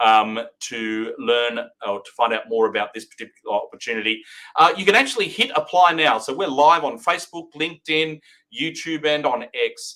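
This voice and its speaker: Speaking with an Australian accent at a moderate pace, a man uses a fairly high pitch, a bright, sharp tone, lively intonation and big swings in loudness. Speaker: recruitment company director hosting a live update. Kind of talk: live-streamed market update. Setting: live stream. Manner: hesitant, many fillers.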